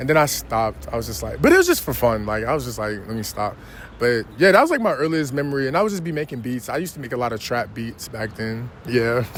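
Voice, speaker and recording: A man talks with a New York accent. His pace is very fast. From New York City (Queens). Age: 20s. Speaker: rapper. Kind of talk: interview. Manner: casual, with many fillers.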